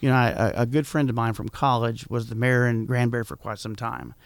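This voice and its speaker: Talking at a very fast pace, a man uses a medium pitch with a Texan accent. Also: very clean recording, silent background. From Texas, San Antonio. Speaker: small-town mayor. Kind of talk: radio interview. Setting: studio.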